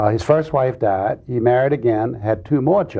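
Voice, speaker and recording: A man with a medium-pitched, somewhat breathy voice talks at a fairly slow pace with lively intonation. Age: 60s. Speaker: president's grandson. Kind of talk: TV interview.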